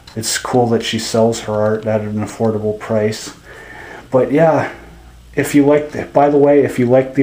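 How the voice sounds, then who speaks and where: In a room with audible echo, a man speaks fairly slowly at medium pitch with a dark, mellow tone and monotone, flat intonation. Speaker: vlogger. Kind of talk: casual vlog.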